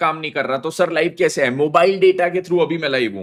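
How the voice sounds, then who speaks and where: A man at a moderate pace. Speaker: CA teacher. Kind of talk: live online lecture. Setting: live stream on mobile data. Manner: animated.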